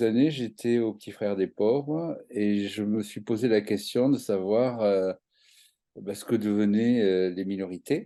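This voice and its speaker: Over a quiet background, a man with a fairly low pitch and a dark, mellow tone talks at a very slow pace, with ordinary pitch variation and big swings in loudness. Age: 60s. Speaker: activist for elderly rights. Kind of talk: interview. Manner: halting, many hesitations.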